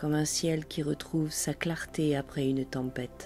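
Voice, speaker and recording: Over music in the background, a woman with a very deep, low pitch speaks very slowly with fairly even intonation. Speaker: meditation guide. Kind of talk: guided sleep meditation. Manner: slow, soft-spoken.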